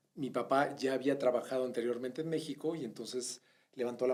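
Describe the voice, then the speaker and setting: A medium-pitched man talks at a very fast pace, using ordinary pitch variation. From Mexico (born in Bogotá, Colombia, moved as a child in the mid-80s). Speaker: retail executive. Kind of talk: interview.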